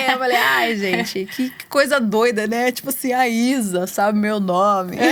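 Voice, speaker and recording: Against noticeable background noise, a woman talks at a moderate pace and medium pitch. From Brazil, São Paulo metro area. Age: 20s. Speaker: singer. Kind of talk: interview. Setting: studio.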